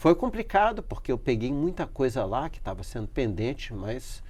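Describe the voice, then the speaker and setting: A somewhat breathy man at a fairly high pitch and a moderate pace, with very wide pitch swings. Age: 60s. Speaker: professor. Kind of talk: interview. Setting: studio. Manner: halting.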